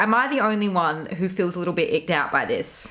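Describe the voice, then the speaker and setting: With an Australian accent, a woman talks at a fairly quick pace in an animated tone. Her voice sounds bright and sharp. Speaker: YouTuber, commentary creator. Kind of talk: casual commentary video.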